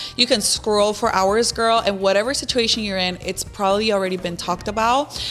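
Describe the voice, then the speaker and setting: A woman's medium-pitched voice at a fairly quick pace, fairly even in intonation, with faint music in the background. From Mexico, Los Mochis, Sinaloa; Sinaloa, Mexico. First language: Spanish. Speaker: social media influencer; podcast guest. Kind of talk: casual chat. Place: studio. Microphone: studio mic.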